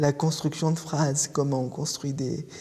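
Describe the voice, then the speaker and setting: A man's fairly high voice, monotone and flat in intonation, over noticeable background noise. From France, Paris. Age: 20s. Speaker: student. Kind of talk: interview testimony. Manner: hesitant, many fillers.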